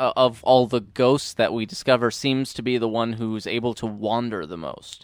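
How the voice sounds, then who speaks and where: A man talks with hardly any pauses. His pitch shows ordinary variation. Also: medium pitch for a man, moderate pace. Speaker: podcast co-host, movie commentator. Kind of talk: casual movie commentary chat. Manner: loud.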